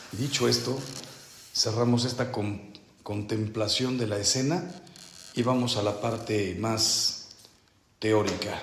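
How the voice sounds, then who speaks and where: A man with a Mexican accent speaks at a medium pitch and a very slow pace, leaving long, frequent pauses, his intonation fairly even, with audible room echo and noticeable background noise. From Mexico. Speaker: priest leading a spiritual retreat. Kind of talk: retreat meditation talk. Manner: slow, deliberate.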